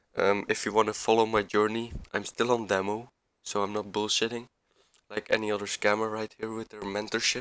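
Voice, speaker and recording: In a very clean recording with a silent background, a man with a non-native accent talks in a fairly low pitch. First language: not English. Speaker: amateur forex trader, video creator. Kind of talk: screen-share trade breakdown tutorial. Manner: halting, repeats words; casual, informal.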